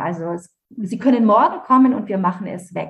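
A somewhat breathy woman's voice at medium pitch, with lively intonation. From Franconia, Germany (Nuremberg). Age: 50s. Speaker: author. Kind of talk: interview testimony.

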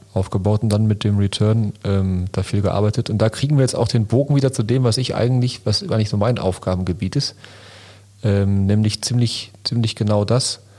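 A man speaks at a moderate pace with a fairly low pitch and a dark, mellow tone. His loudness stays very even, and his intonation is fairly even. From Lünen, Ruhr area, Germany. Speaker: entrepreneur and podcast co-host. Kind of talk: casual chat.

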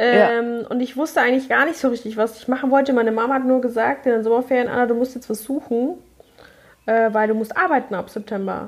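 A high-pitched woman at a very fast pace, her intonation fairly even. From Munich (Neuperlach). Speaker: hairdresser and make-up artist, podcast co-host. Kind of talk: casual chat.

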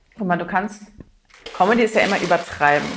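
A woman is speaking. Her pitch is in the medium range. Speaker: stand-up comedian. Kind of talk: casual chat. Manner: calm.

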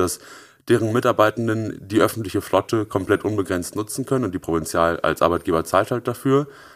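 A man with a plain, everyday voice speaks at a fairly low pitch and a fairly quick pace, with ordinary pitch variation. The recording is very clean, with a silent background. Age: 20s. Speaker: startup founder. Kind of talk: interview.

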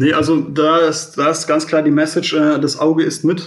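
A fairly high-pitched man with monotone, flat intonation against noticeable background noise. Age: 20s. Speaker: real estate credit analyst. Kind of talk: interview. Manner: halting, many fillers.

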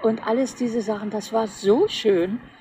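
Noticeable background noise is present throughout. A woman talks very slowly over it. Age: 80s+. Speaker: retired interior architect. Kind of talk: casual chat.

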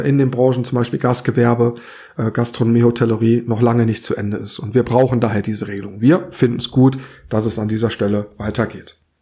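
This man's tone is dark and mellow. His voice rises and falls only a little, with fairly even intonation. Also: very clean recording, silent background. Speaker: podcast co-host. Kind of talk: casual discussion.

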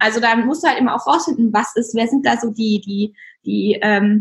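An ordinary speaking voice at a moderate pace. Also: woman. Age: 20s. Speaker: app founder. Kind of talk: interview.

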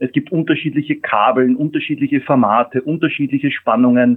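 The speaker has a plain, everyday voice whose pitch varies in an ordinary way. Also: man. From Austria. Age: 50s. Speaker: mobility industry executive. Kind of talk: interview.

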